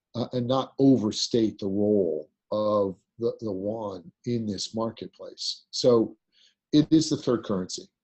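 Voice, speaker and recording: Speaking at a fairly slow pace, a man uses an ordinary speaking voice at a medium pitch with ordinary pitch variation. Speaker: currency markets executive. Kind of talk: webinar presentation.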